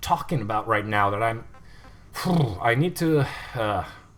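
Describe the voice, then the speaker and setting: This man's pitch makes very wide swings at a fairly slow pace, with noticeable background noise around him. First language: not English. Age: 20s. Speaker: gaming livestreamer. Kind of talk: gameplay commentary livestream. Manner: casual, hesitant with fillers.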